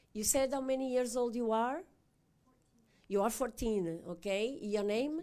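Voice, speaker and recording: A woman with a European Portuguese accent talks at a fairly slow pace, fairly high in pitch with a dark, mellow tone. The recording is very clean, with a silent background. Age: 60s. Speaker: animal welfare ombudsman hosting event. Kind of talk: public talk moderating Q&A, bilingual.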